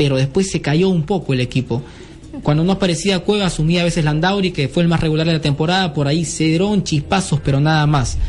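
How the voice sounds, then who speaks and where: Noticeable background noise sits behind the speech. A man talks at a fairly quick pace with ordinary pitch variation. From Peru, Lima. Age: 20s. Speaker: sports radio host. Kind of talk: sports talk radio. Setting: radio studio.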